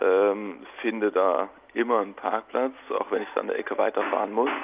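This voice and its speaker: There's noticeable noise in the background. Through it, a man is talking. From Germany, Freiburg. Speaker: café owner. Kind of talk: interview.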